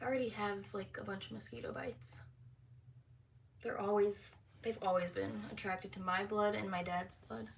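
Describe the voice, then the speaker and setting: A woman of medium pitch speaks at a moderate pace with very wide pitch swings, vocal fry, and long, frequent pauses, with audible room echo around her. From San Francisco, California. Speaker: lifestyle vlogger. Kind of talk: casual livestream chat. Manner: hesitant, verbal slips.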